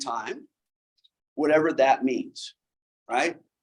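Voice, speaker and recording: Taking his time at a fairly slow rate, a man talks in a fairly high register. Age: 60s. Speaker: Sabbath school teacher. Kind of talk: Bible study lecture. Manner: conversational.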